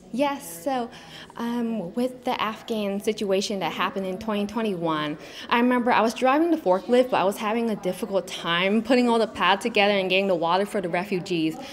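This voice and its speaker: Over noticeable background noise, a woman talks at a fairly quick pace. Her pitch varies in an ordinary way. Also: medium pitch for a woman. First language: Vietnamese. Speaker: pageant contestant, Air Force member. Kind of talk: interview.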